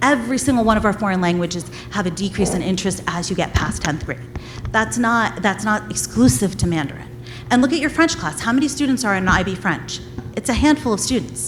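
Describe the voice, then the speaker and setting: A woman speaks at a fairly quick pace and a medium pitch, her voice swinging very widely in pitch, with music playing in the background. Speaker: parent speaking at public comment. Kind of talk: public comment debate. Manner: loud; animated.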